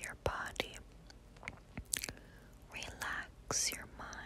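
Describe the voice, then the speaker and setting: Through noticeable background noise comes a whispered voice. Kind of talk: ASMR personal attention with positive affirmations. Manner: whispered, soft-spoken.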